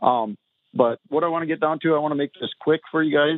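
This man talks with a strong Minnesotan accent. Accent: Minnesotan, thick. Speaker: caller. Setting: phone call.

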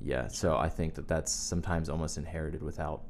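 Talking at a fairly quick pace, a man with an American accent shows vocal fry and ordinary pitch variation. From US South, Wilmington. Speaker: pastor's son, musician. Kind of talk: casual chat.

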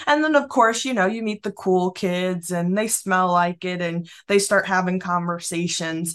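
At a moderate pace and with hardly any pauses, a woman speaks in a plain, everyday voice at medium pitch with ordinary variation, recorded very cleanly against a silent background. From Massachusetts, Springfield. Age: 20s. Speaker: business founder. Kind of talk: interview.

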